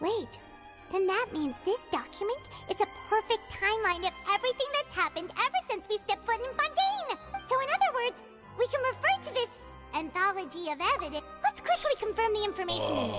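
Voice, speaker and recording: In a put-on character voice with extremely high pitch, the speaker moves at a fairly quick pace over clear music in the background. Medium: game stream. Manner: excited, fast.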